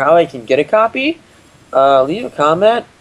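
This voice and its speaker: There's noticeable background noise as a man speaks at a moderate pace. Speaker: gaming commentator. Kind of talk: casual let's play commentary.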